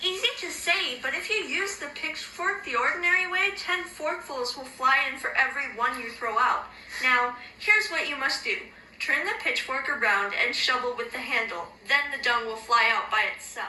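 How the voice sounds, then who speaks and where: A woman uses a high-pitched, put-on character voice over clear background noise. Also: moderate pace. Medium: read story.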